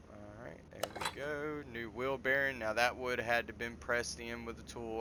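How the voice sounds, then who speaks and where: A man with a Southern US accent talks at a moderate pace, medium in pitch, with fairly even intonation. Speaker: gaming video creator. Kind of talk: gameplay commentary. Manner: casual, with hesitations and restarts.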